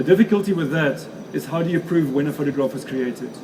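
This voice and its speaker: A man with a South African accent at a very fast pace, fairly high-pitched for a man, with ordinary pitch variation, audible room echo and noticeable background noise. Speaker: photographer and author giving a talk. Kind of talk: lecture. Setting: stage with audience at an expo.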